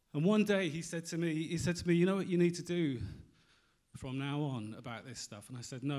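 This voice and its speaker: Against a quiet background, a man with a British accent talks at a fairly quick pace in a dark, mellow tone with ordinary pitch variation. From UK. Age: 40s. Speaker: magazine editor; presenter. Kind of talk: conference talk. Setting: stage with audience. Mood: candid, reflective storytelling. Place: hall. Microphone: handheld.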